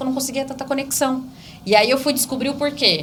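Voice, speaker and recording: A woman speaks high in pitch in an animated tone. Audible room echo and noticeable background noise surround her. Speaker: real estate broker and mentor. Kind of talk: podcast interview. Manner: fast.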